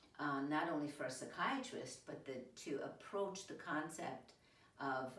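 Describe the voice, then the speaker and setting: A woman speaks at a moderate pace in a very deep, low pitch with ordinary pitch variation, joined by audible room echo and noticeable background noise. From Italy. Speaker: entrepreneur, nurse practitioner. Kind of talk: interview.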